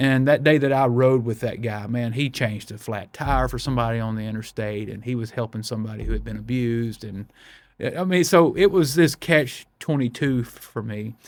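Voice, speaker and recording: A man with a Mississippi accent at a moderate pace. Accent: Southern US (Mississippi). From US South, Brookhaven, Mississippi. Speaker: pastor. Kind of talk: testimony. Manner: animated, repeats words.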